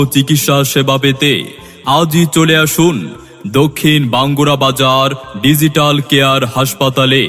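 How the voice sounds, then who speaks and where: A man's fairly high voice in monotone, flat intonation, with music in the background. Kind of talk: public address advertisement read.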